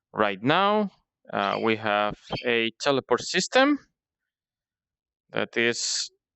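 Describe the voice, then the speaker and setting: A man speaks with a non-native accent. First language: not English. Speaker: indie game developer. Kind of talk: devlog tutorial. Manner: halting with frequent fillers.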